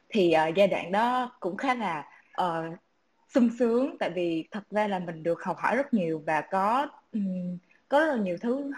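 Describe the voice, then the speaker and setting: Somewhat breathy speech at a moderate pace, with lively intonation. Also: woman. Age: 20s. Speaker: startup founder in music marketing. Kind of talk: online panel discussion.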